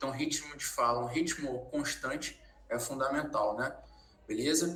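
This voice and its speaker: Over noticeable background noise and audible room echo, a man talks in a fairly high pitch with fairly even intonation. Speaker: sales trainer. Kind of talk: lecture.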